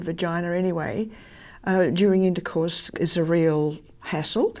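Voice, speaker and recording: In an Australian accent, a woman speaks at a fairly slow pace and medium pitch with a dark, mellow tone. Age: 80s. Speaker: former church minister. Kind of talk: interview answer.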